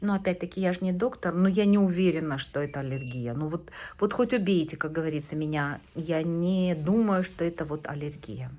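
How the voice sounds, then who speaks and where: A woman speaks at a moderate pace with a fairly low pitch and a dark, mellow tone. Her pitch varies in an ordinary way over a quiet background. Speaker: vlogger. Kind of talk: casual vlog. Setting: doctor's office waiting room. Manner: chatty, hesitant with fillers.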